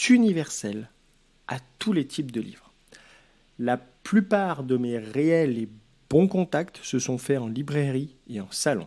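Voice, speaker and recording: In a Lyon accent, the speaker talks at a very slow pace with lively intonation and a dark, mellow tone on a very clean recording with a silent background. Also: man. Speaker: author giving advice. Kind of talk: advice vlog.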